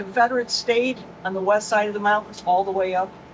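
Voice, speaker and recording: A woman speaks at a fairly high pitch and a moderate pace. Noticeable background noise is present. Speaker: tour guide. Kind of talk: guided tour talk.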